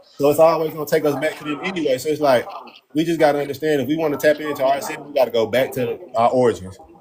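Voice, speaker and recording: A man speaks at a very fast pace, fairly high in pitch with ordinary pitch variation. Noticeable background noise runs underneath. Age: 30s. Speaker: live stream host. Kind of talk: casual chat. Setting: live stream.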